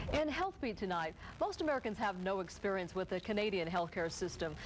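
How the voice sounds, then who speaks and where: A woman at a very fast pace, in a medium pitch. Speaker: TV news co-anchor. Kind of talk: TV newscast anchor.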